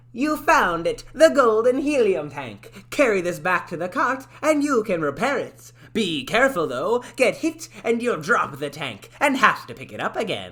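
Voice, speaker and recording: A put-on character voice at a fairly high pitch runs at a moderate pace with hardly any pauses. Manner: acted voice.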